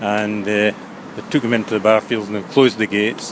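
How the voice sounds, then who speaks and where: Over noticeable background noise, a man with a west of Scotland accent speaks at a very fast pace with fairly low pitch and monotone, flat intonation. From Scotland, Ayrshire coast. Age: 70s. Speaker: elderly local resident recalling wartime. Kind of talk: interview reminiscence. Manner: halting, many fillers.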